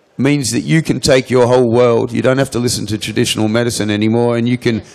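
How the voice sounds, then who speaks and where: His pitch moves in an ordinary way. The man has an Australian accent. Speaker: cannabis seed company owner. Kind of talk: conference Q&A answer. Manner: halting with repetitions.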